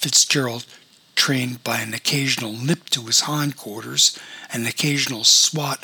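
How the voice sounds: Natural reading voice, nothing more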